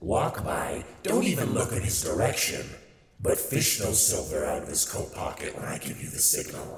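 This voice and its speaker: Slight echo sits around a man doing a put-on character voice. He keeps a medium pitch and a moderate pace. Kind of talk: ASMR audio roleplay. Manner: sardonic, playful.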